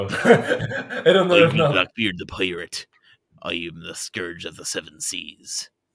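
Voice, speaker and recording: A man speaks very slowly in a put-on character voice. His pitch sits fairly low. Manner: boastful, swaggering.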